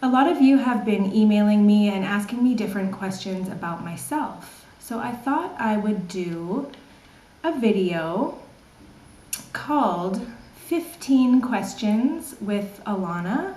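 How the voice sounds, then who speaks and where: Over noticeable background noise and audible room echo, a woman with a Canadian accent talks at a very slow pace and medium pitch. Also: lively intonation. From Canada, British Columbia. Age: 30s. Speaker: online English teacher. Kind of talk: casual vlog Q&A.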